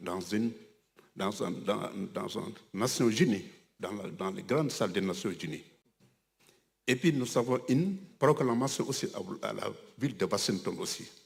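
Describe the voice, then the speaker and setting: His pitch swings very widely as a man talks at a fairly slow pace. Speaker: religious community leader. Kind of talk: ceremony speech. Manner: halting.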